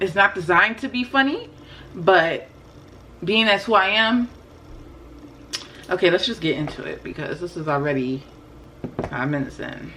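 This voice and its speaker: A woman with a medium pitch talks at a moderate pace with lively intonation and big swings in loudness. Long, frequent pauses break up her speech over noticeable background noise. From West African heritage, first generation. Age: 20s. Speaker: spiritual and lifestyle YouTuber. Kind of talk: casual commentary vlog. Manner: animated.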